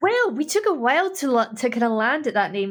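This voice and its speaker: A woman talks in a high pitch with a Scottish accent. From Scotland. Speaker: harp player. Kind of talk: introducing a music track; interview chat. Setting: podcast interview.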